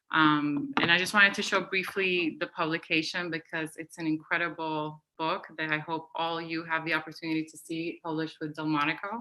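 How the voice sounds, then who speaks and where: Fairly quick speech with hardly any pauses, fairly even intonation and big swings in loudness. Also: woman, fairly low pitch for a woman. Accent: Spanish. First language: Spanish. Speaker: curator. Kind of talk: panel discussion.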